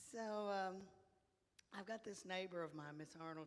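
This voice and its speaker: The speaker is a woman with an American accent. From Texas, Dallas area. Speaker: comedian. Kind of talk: stand-up.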